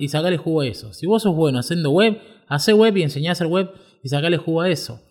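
A man speaks at a fairly quick pace with a high pitch. His pitch swings very widely. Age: 30s. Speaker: podcast host, web developer. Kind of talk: personal storytelling monologue. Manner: halting, frequent fillers and repetitions.

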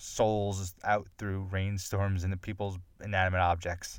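The delivery is monotone, with flat intonation. The recording is very clean and the background silent. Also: man. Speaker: movie podcast host. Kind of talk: casual solo monologue. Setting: recording in a closet. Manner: halting, with frequent laughs.

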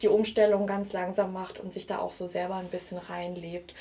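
A woman of medium pitch speaks at a moderate pace in a monotone, flat intonation. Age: 20s. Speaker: vintage blogger and art historian. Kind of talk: interview.

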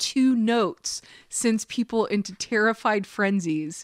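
Recorded very cleanly against a silent background, the voice moves at a very slow pace with lively intonation. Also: woman, dry, close sound with no echo. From Kentucky. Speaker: host's wife. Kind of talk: casual chat.

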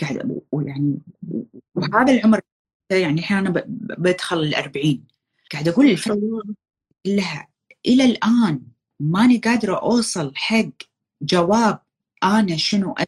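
Somewhat breathy and medium in pitch, a woman speaks at a moderate pace with very wide pitch swings and long, frequent pauses. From Kuwait. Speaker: content creator. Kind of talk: casual chat. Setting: live stream.

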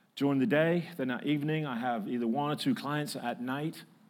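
In a very clean recording with a silent background, a man with an American accent speaks at a fairly high pitch with ordinary pitch variation. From northern England, Manchester. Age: 50s. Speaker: preacher. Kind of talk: sermon. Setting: church.

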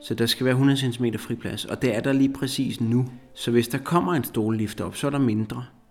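Medium in pitch, this man's voice has fairly even intonation. He talks at a moderate pace. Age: 40s. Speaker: psychologist living with multiple sclerosis. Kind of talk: interview. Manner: halting.

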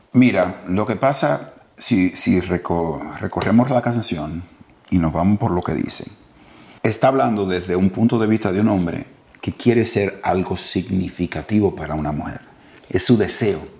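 At a fairly slow pace, a man with a fairly low pitch uses a normal speaking voice with ordinary pitch variation. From Dominican Republic. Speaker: podcast co-host. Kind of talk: casual chat.

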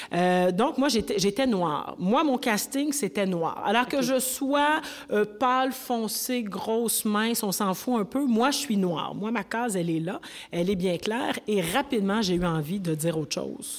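A normal speaking voice from a woman, fairly high in pitch, with lively intonation at a fairly slow pace. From Quebec, Rouyn-Noranda (Abitibi). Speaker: actress and writer. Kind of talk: panel discussion. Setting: stage with audience.

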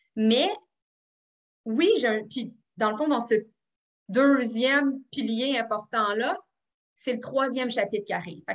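A woman's fairly high voice with ordinary pitch variation, at a fairly slow pace with long, frequent pauses. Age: 30s. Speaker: psychoeducator and author. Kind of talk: interview. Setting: video call.

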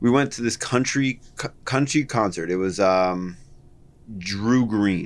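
A man with an American accent and a normal speaking voice, fairly low in pitch, at a fairly slow pace, with ordinary pitch variation on a very clean recording with a silent background. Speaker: podcast co-host. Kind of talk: casual chat.

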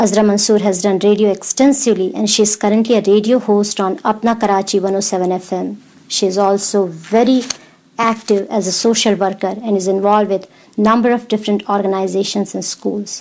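At a medium pitch, a woman speaks in a monotone, flat intonation. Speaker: radio host. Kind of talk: radio interview. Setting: studio. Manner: warm, polite.

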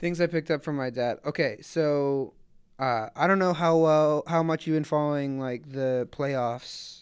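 A man with an American accent and a fairly high pitch, fairly slow and fairly even in intonation, a plain, everyday voice, over a quiet background. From Atlanta, US South. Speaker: podcast co-host. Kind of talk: casual chat.

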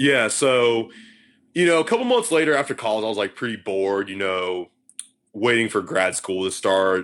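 Here a man with an American accent uses a normal speaking voice at a medium pitch and a moderate pace. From Texas, Galveston. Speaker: music writer. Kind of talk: casual interview.

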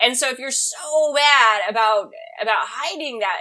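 Using lively intonation, this woman has an ordinary speaking voice set at a fairly high pitch. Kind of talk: casual comedic banter.

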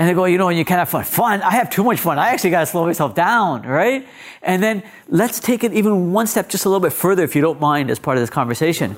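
Someone talks at a very fast pace with a Canadian accent. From Canada, Ontario (Malton, Toronto area). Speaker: diversity manager and public speaker, former amateur boxer. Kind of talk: interview.

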